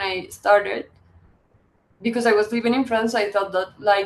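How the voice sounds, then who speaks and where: Fairly high pitch from a woman with a Spanish accent, at a moderate pace. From Colombia. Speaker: visual artist and publisher. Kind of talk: interview. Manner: halting.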